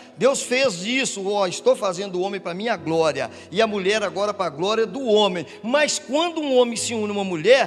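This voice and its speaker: A man with a high-pitched voice speaks at a moderate pace, his intonation lively, over noticeable background noise. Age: 60s. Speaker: pastor. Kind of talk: sermon. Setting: church.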